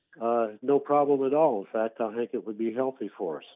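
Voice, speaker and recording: With an American accent, a man talks at a fairly quick pace in an unremarkable speaking voice of medium pitch and ordinary pitch variation. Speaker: radio caller. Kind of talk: casual call-in conversation. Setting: phone call.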